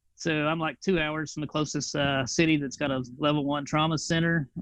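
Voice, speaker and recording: A man with a Tennessee accent speaks at a fairly quick pace with a fairly high pitch. His intonation is fairly even, and the background is quiet. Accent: Tennessee twang. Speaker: flight paramedic, veteran. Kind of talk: casual interview.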